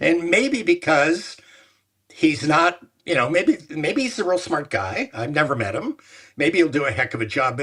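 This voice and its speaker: A man speaks at a moderate pace in a bright, sharp tone with vocal fry. His pitch swings very widely. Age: 70s. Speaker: former sports executive. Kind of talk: interview. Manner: halting.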